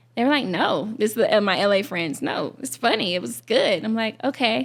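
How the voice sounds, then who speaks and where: The speaker has an Alabama accent and vocal fry. Intonation is lively and the pace moderate. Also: woman. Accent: Southern US (Alabama). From Alabama, Shelby County near Birmingham. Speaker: content creator. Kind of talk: interview. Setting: film festival podcast recording. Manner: casual, hesitant with fillers.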